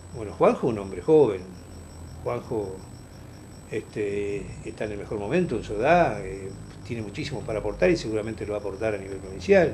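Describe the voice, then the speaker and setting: A man speaks at a fairly quick clip with a dark, mellow, somewhat breathy tone, his intonation lively and his loudness swinging widely. Long, frequent pauses break up his speech, and the room echo is audible. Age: 60s. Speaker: politician. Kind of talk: interview. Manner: hesitant, many fillers.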